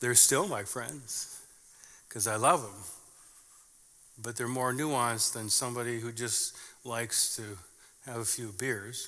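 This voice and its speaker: In an Upper Midwest accent, a man talks at a fairly slow pace with long, frequent pauses, a bright, sharp tone, medium pitch and ordinary pitch variation, and audible room echo around him. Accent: Upper Midwest American. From southern Minnesota, US Midwest. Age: 50s. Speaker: pastor. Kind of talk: sermon.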